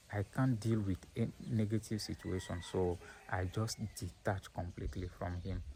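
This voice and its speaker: A man's somewhat breathy, dark, mellow voice, fairly low in pitch, with ordinary pitch variation at a moderate pace. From Nigeria, then French-speaking country. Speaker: vlogger. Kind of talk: personal vlog monologue. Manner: halting, many repetitions and fillers.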